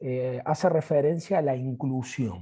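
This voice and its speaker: The voice is somewhat breathy with a dark, mellow tone, moving at a very slow pace. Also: man. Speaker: university physical education lecturer. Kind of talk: video call panel moderation.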